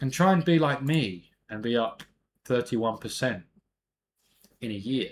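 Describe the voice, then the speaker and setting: This man speaks with a British accent and lively intonation. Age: 30s. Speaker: amateur investing youtuber. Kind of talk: casual vlog monologue. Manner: casual, chatty.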